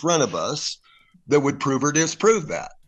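Over a quiet background, a man with a fairly high pitch speaks at a moderate pace with lively intonation. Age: 60s. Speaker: election activist and former investigator. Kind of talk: interview. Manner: halting.

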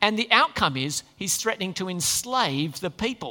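With a bright, sharp tone and very wide pitch swings, a man uses a raised, projected voice at a fairly slow pace. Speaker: preacher. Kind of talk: sermon. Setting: church. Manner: halting.

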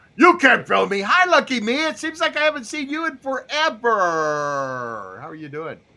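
A man speaks in a raised, projected voice at an extremely high pitch, his tone bright and sharp, his pitch swinging very widely and his words running with hardly any pauses. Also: moderate pace. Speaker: podcast host. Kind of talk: casual chat. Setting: live video call panel.

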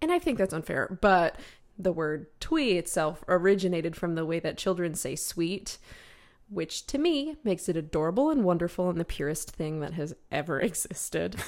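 In a very clean recording with a silent background, a woman with a fairly low pitch, ordinary pitch variation and an unremarkable speaking voice talks at a moderate pace. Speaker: podcast co-host. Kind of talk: casual podcast chat.

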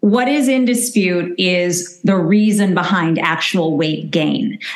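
Using a normal speaking voice, a woman talks at a fairly slow pace and medium pitch with ordinary pitch variation. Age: 50s. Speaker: registered dietitian. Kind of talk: interview.

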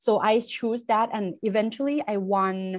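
In a Thai accent, a woman speaks at a medium pitch over a quiet background. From Thailand. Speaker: chemistry instructor. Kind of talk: interview. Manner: halting, many fillers.

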